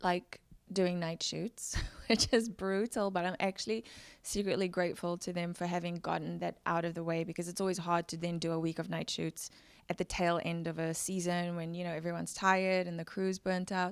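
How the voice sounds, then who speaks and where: Speech comes at a fairly quick pace with a South African accent and flat, monotone intonation. The recording is very clean, with a silent background. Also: woman, fairly low pitch for a woman. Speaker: actor. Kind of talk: interview.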